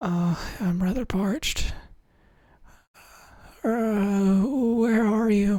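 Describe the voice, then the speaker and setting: Putting on a raspy, high-pitched character voice, a man speaks very slowly with long, frequent pauses on a very clean recording against a silent background. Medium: actual play.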